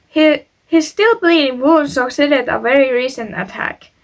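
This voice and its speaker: Speaking with a non-native accent, a woman uses a high pitch with ordinary variation at a fairly slow pace. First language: not English. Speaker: YouTuber, true crime storyteller. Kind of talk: reading aloud a story with personal commentary; casual chat to viewers. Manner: halting, stumbles on words.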